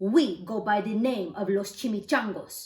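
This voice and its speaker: A growling, put-on character voice that sounds female, medium in pitch, at a moderate pace. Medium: read story.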